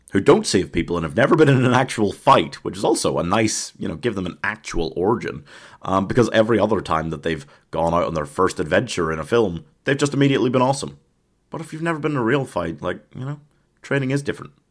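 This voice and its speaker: Very fast man's voice, fairly low in pitch with very wide pitch swings and vocal fry, on a very clean recording with a silent background. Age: 20s. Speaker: film podcast host. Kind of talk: solo podcast review. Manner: animated, frequent laughter.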